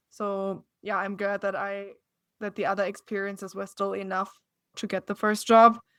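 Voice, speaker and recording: In a strong German accent, a woman talks at a fairly quick pace and medium pitch. The recording is very clean with a silent background. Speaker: TV news reporter. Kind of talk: interview.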